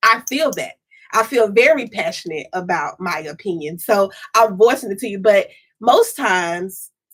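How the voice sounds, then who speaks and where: A woman speaks loudly at a moderate pace with a fairly high pitch. Her tone is animated, with very wide pitch swings. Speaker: podcast co-host. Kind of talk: casual chat.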